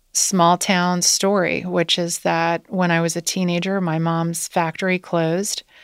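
In a Midwestern American accent, a woman speaks at a fairly slow pace and fairly low pitch. Her intonation is monotone and flat, on a very clean recording with a silent background. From US Midwest, Wilmington, Ohio. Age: 40s. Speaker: company CEO. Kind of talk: interview.

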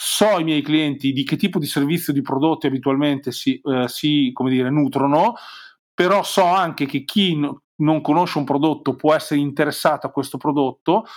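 A man with a Romagnolo accent talks at a fairly high pitch and a moderate pace, with ordinary pitch variation. His loudness is very even, and the recording is very clean, with a silent background. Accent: Romagnolo Italian. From Romagna, Forlì. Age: 40s. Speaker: digital marketing consultant. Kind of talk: interview.

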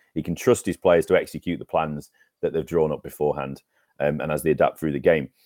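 A man with an English accent at a very fast pace, the sound dry and close with no echo. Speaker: cricket podcast co-host. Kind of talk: casual chat. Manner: loud.

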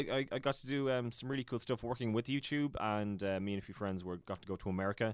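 The voice carries an Irish accent and lively intonation. The recording is very clean, with a silent background. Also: man. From Ireland, County Tipperary. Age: 20s. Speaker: YouTuber. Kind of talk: casual chat.

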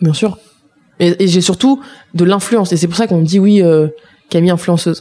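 Pausing long and often, a woman speaks at a moderate pace with a fairly low pitch and ordinary pitch variation. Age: 20s. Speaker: activist and former cook. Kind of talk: casual chat. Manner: animated.

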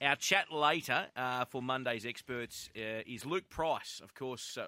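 This man has an Australian accent and a bright, sharp tone at a medium pitch with ordinary pitch variation, recorded dry and close with no echo. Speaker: radio host. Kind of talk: casual radio banter.

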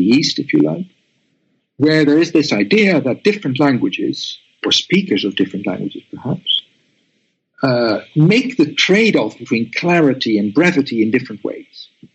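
This man, speaking in a Dutch accent at a moderate pace, has a fairly high pitch and very wide pitch swings. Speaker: academic author, computational linguist. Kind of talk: academic interview. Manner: halting, with repetitions and fillers.

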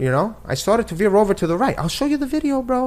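A man with an American accent speaks very fast and with lively intonation. His pitch is extremely high. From New York City. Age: 40s. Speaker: guest. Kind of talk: heated debate.

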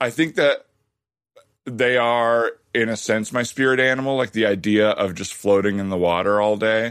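A man speaks at a medium pitch with ordinary pitch variation and an American accent. He has a plain, everyday voice. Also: moderate pace. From Arizona, US. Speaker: improv comedian and podcast host. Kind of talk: improv comedy podcast, casual chat with improvised scenes.

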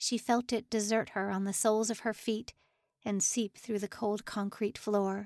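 The backdrop stays quiet. The speaker is reading aloud in a natural voice.

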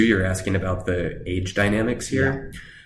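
In a room with audible echo, a somewhat breathy man talks at a fairly quick pace. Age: 30s. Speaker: academic theologian. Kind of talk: casual chat.

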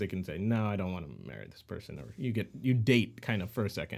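On a very clean recording with a silent background, a man with an American accent talks fairly quickly with ordinary pitch variation. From US Midwest, St. Louis, Missouri. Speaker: singer-songwriter. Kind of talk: casual interview chat. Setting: home shed studio.

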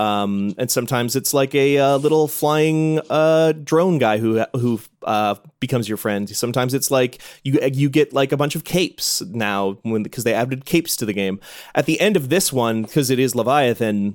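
A man with an American accent has an ordinary speaking voice at medium pitch and ordinary pitch variation. He talks at a moderate pace on a very clean recording with a silent background. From US Midwest. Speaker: games media editor. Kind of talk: casual chat.

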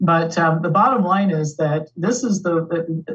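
This woman's voice is fairly low and somewhat breathy. Her pitch varies in an ordinary way. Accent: American. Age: 60s. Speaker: activist and co-founder of advocacy group. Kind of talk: casual interview chat.

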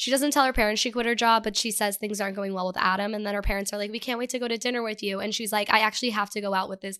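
On a very clean recording with a silent background, a woman speaks with an American accent. Her tone is animated, bright and sharp. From Texas. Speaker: podcast co-host. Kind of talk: casual chat. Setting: home studio.

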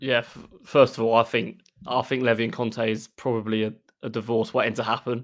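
A man at a fairly quick pace with monotone, flat intonation, on a very clean recording with a silent background. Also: medium pitch for a man. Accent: Essex. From Essex, England. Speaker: football writer. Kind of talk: casual chat.

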